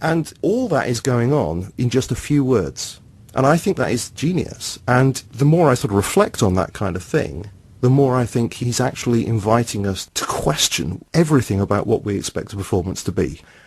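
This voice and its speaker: This man's pitch rises and falls over a very wide range. He has a British accent. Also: medium pitch for a man, moderate pace. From UK. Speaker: teacher and blogger, podcast guest. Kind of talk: casual discussion.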